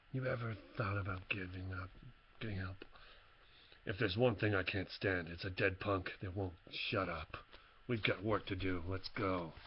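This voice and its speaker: Putting on a character voice, a man speaks raspy and very deep and low at a moderate pace, with fairly even intonation, long, frequent pauses and clear background noise. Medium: read story. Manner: curt, commanding.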